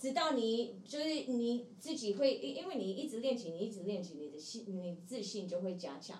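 Somewhat breathy and with hardly any pauses, the voice moves at a moderate pace through very wide pitch swings, with audible room echo. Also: woman, fairly high pitch for a woman. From US, Seattle. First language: English (speaking Chinese). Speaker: playback theatre actor. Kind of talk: casual interview. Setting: live stream.

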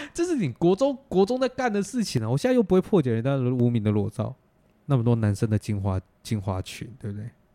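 On a very clean recording with a silent background, a man with a Taiwanese accent talks at a very fast pace. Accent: Taiwanese Mandarin. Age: 20s. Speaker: podcast host. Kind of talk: casual chat.

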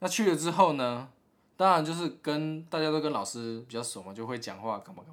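Speaking at a fairly quick pace, a man with an unremarkable speaking voice uses lively intonation and a fairly high pitch, with big swings in loudness. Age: 20s. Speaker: podcast co-host. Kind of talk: casual chat.

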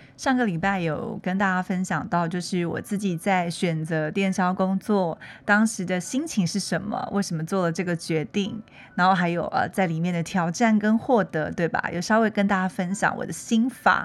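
The recording is very clean, with a silent background. A woman speaks at a moderate pace with a medium pitch and ordinary pitch variation. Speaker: podcast host. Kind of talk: casual monologue.

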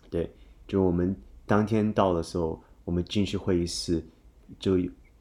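At a very deep, low pitch, a man with an English accent speaks slowly in monotone, flat intonation. His dark, mellow tone sits over a quiet background, at a fairly slow pace. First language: English (speaking Chinese). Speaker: office worker. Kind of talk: casual chat.

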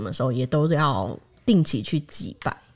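On a very clean recording with a silent background, a woman talks at a fairly slow pace with lively intonation. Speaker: podcast host. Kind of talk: casual chat.

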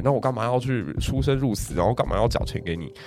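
Talking very fast, a man uses an animated tone with very wide pitch swings. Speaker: high school history teacher. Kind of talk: casual history storytelling chat.

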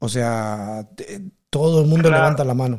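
Somewhat breathy air runs through this man's voice. His pitch sits in the medium range. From Peru. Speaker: podcast host. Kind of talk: casual interview chat.

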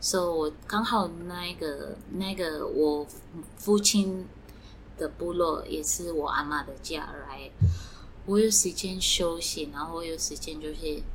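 A woman at a very slow pace, with big swings in loudness, noticeable background noise and audible room echo. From Eswatini, then United States. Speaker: fashion brand founder. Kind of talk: interview. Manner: halting, with fillers.

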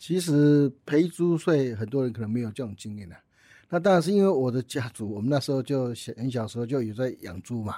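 On a very clean recording with a silent background, a man of medium pitch talks fairly quickly with lively intonation and a dark, mellow tone. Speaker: company chairman. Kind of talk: interview. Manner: halting, many fillers.

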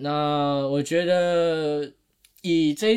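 A man's voice with a fairly high pitch. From Taiwan. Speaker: podcast co-host. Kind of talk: casual chat. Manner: animated.

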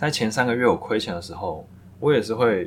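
A man talks fairly quickly in a somewhat breathy voice. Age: 30s. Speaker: podcast host, full-time trader. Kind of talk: solo reflective monologue. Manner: halting, with filler words.

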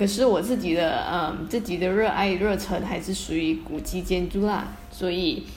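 Over music in the background, a woman talks at a moderate pace with hardly any pauses. Her pitch is medium with ordinary variation, and the room echo is audible. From Malaysia. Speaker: architect, heritage conservation volunteer. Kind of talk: casual chat.

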